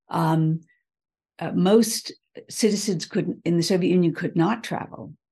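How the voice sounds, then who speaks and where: A woman with an American accent speaks at a fairly low pitch in a dark, mellow tone, somewhat breathy. Her pace is fairly slow, with long, frequent pauses and ordinary pitch variation. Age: 70s. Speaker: leadership strategist. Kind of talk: interview.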